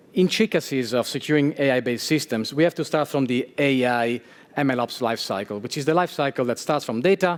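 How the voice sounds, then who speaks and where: A man speaks in a strong Italian accent at a fairly quick pace. His pitch is fairly high and his intonation lively. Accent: thick Italian. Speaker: security engineer speaker. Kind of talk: conference talk.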